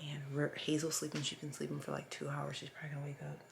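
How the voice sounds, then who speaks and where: A woman is speaking. She whispers. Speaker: family vlogger, mother of seven. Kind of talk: casual vlog narration. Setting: at home. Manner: whispering.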